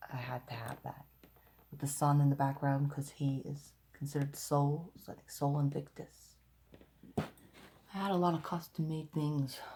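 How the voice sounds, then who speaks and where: At a moderate pace, a woman speaks in a very deep, low pitch, somewhat breathy, with a dark, mellow tone and monotone, flat intonation. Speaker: occult video blogger. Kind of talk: casual video monologue. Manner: talking low; halting, many fillers.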